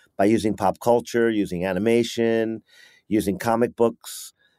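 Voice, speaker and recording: Flat and monotone, this voice with a New York accent moves at a moderate pace, its sound dry and close with no echo. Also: man, very clean recording, silent background. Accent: New York American. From New York, US. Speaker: youth football coach. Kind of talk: interview.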